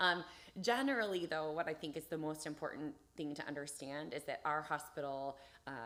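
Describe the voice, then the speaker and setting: Speaking at a fairly quick pace, a woman has a very deep, low pitch with ordinary variation. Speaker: emergency room doctor. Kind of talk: live Q&A interview. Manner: fast.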